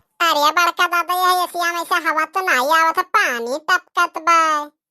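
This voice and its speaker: A woman does a cartoonish character voice at an extremely high pitch. She keeps a moderate pace and fairly even intonation, with a dry, close sound and no echo. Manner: loud rustic chatter.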